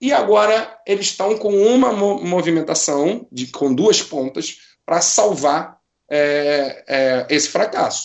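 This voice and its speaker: A high-pitched man's voice with lively intonation at a very slow pace. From Rio de Janeiro, Brazil. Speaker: football supporter and writer. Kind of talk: casual chat.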